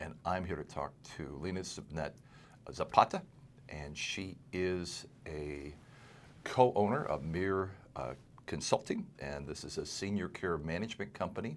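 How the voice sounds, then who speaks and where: Using a very deep, low pitch with vocal fry, a man speaks with long, frequent pauses. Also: ordinary pitch variation, fairly slow pace, big swings in loudness. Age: 60s. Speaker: estate planning lawyer, podcast host. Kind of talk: casual interview.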